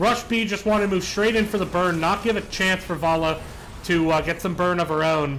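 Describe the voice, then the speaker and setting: An American accent at a moderate pace, with audible room echo. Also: man. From West Virginia. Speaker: esports caster. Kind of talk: live commentary. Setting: livestream.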